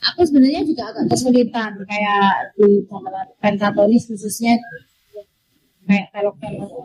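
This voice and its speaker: Moderately paced speech from a woman, her pitch varying in an ordinary way. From Surabaya, East Java, Indonesia. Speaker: campursari singer. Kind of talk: casual interview chat.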